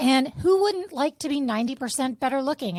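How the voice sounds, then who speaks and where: A woman talks with lively intonation. Her voice is high. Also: dry, close sound with no echo. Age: 50s. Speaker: podcast co-host. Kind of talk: casual chat.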